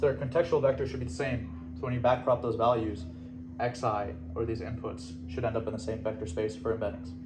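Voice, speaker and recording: Over background music and audible room echo, a man rattles off words at a very fast pace, his medium-pitched voice lively in intonation. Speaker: student fellowship presenter. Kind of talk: lecture.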